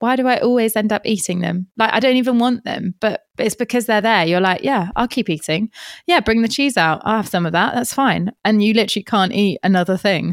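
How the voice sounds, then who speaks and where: A woman with an English accent speaks with hardly any pauses at a fairly high pitch. Her ordinary pitch variation comes through in a dry, close sound with no echo. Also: fairly quick pace, very even loudness, very clean recording, silent background. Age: 30s. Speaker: podcaster. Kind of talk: casual chat.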